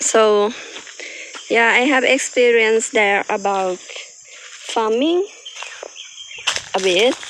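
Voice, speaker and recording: Over noticeable background noise, a woman with a Thai accent speaks at a very slow pace with long, frequent pauses, a fairly high pitch, ordinary pitch variation and very even loudness. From Thailand. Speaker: farmer. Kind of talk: farm tour vlog. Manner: halting.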